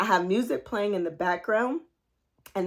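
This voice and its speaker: This woman has a plain, everyday voice with a medium pitch and ordinary pitch variation. The recording is very clean, with a silent background. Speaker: life coach. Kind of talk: motivational talk.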